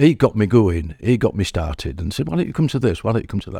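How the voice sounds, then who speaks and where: Over a very clean recording with a silent background, a man speaks in an East Yorkshire accent with a dark, mellow tone. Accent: East Yorkshire (Hull) English. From Hull, East Yorkshire, England. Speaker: community centre member. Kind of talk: casual interview. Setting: community centre.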